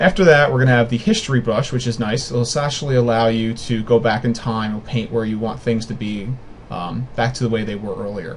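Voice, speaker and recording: There is noticeable background noise as a man speaks at a medium pitch. His pace is fairly quick, and his pitch varies in an ordinary way. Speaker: software tutorial maker. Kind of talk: screen-recorded tutorial. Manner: fast; casual, with fillers and restarts.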